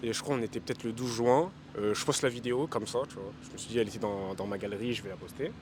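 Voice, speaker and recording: With a medium pitch, the man delivers his words at a very fast pace. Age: young. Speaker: rapper. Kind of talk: casual interview. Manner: casual, filler-heavy.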